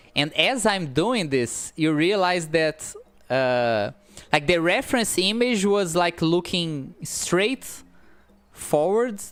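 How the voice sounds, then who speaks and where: Music plays in the background while a woman with a non-native accent speaks at a very slow pace. Her fairly low voice has very wide pitch swings but very even loudness. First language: not English. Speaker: pixel artist streamer. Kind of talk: live stream art commentary. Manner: halting, many fillers.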